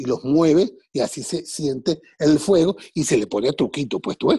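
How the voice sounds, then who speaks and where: A man speaks fairly slowly at a fairly high pitch, with a dark, mellow tone, vocal fry and lively intonation. The sound is dry and close with no echo, on a very clean recording with a silent background. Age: 60s. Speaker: TV and radio entertainer. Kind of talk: casual interview.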